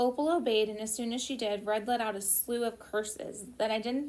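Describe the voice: Plain reading aloud, the intonation mostly level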